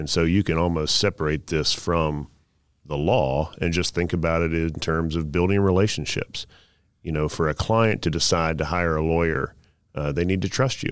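On a very clean recording with a silent background, a man with a very deep, low pitch and an American accent speaks at a moderate pace in fairly even intonation. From North Carolina (Southern Pines). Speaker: trial lawyer. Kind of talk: interview.

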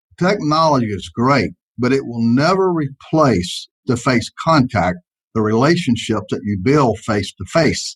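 A man with a Southern US accent speaks at a fairly slow pace in a medium, somewhat breathy pitch with very wide pitch swings, the sound dry and close with no echo. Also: very clean recording, silent background. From US South. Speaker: insurance agency owner. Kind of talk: interview.

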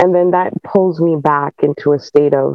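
In a fairly low pitch with ordinary pitch variation, a woman talks at a very slow pace. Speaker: fashion student and homeschooling parent. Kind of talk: call-in question.

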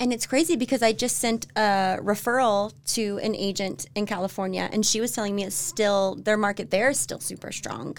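With an ordinary speaking voice and an American accent, a woman talks at a moderate pace with ordinary pitch variation. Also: medium pitch for a woman. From Florida and Tennessee, US South. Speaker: real estate agent, home stager. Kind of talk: casual interview. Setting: office studio.

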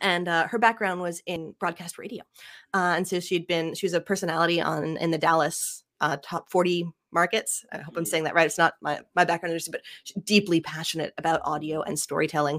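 Fairly quick and fairly even in intonation, a woman speaks in an ordinary speaking voice at a fairly low pitch. The sound is dry and close with no echo. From Canada (Ottawa). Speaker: podcast production company owner. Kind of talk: casual interview chat.

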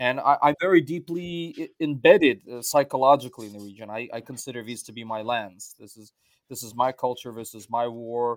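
A normal speaking voice with an American accent moves at a fairly quick pace, with ordinary pitch variation and big swings in loudness. The recording is very clean, with a silent background. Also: man, medium pitch for a man. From US, Russian-speaking diaspora. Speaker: journalist and cultural commentator. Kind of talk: interview.

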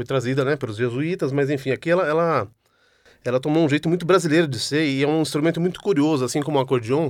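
Someone speaks at a very fast pace in a very clean recording with a silent background. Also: man. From Brazil, São Paulo city. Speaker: multi-instrumentalist musician. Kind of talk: interview. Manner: halting.

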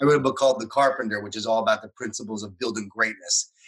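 Speaking at a very fast pace, a man with an American accent has a bright, sharp tone and fairly even intonation. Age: 40s. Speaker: author and speaker. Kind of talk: interview.

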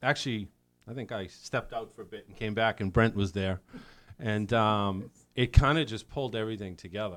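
A man with an American accent and a plain, everyday voice speaks fairly quickly at a fairly low pitch with ordinary pitch variation. His loudness swings widely, and the recording is very clean with a silent background. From South Boston. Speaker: rock band drummer. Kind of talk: casual interview. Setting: live venue recording.

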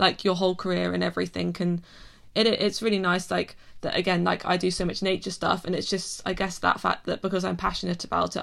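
A woman's medium-pitched voice with vocal fry at a fairly quick pace. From Cotswolds, England. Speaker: animation director and artist. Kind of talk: casual interview chat. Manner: fast talker.

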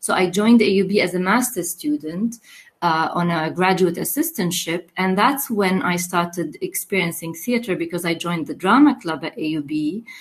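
A woman at a medium pitch, somewhat breathy, with lively intonation and a moderate pace, in a very clean recording with a silent background. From Lebanon, Mount Lebanon. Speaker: theater director and professor. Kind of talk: interview.

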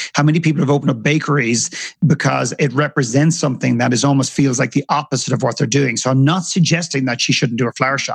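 With an Irish accent and vocal fry, the speaker talks at a very fast pace with fairly even intonation. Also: man, fairly high pitch for a man. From Ireland. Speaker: author and filmmaker. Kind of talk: interview conversation.

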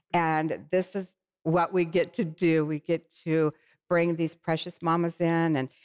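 A woman with a plain, everyday voice at a fairly slow pace. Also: dry, close sound with no echo. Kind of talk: faith-based talk show interview. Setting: TV studio set. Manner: warm, effusive.

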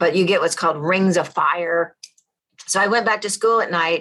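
A woman talks at a fairly quick pace. She has an American accent. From US South. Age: 50s. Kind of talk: interview testimony. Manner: animated.

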